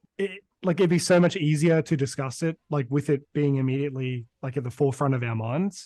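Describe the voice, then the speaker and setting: A man's fairly high-pitched voice, dark and mellow in tone, with ordinary pitch variation, a fairly quick pace and hardly any pauses. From Brisbane, Queensland, Australia. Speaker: podcast co-host. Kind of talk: casual chat.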